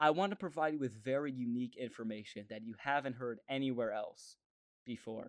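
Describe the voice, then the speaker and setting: Over a quiet background, a man talks in a normal speaking voice. His pitch sits in the medium range. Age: 20s. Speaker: podcast host. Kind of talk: solo monologue podcast. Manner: casual, conversational.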